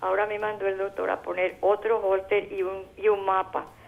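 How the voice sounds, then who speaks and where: This is a woman speaking. Her pace is fairly slow. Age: 80s+. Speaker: caller. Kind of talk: call-in question. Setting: phone call. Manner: halting.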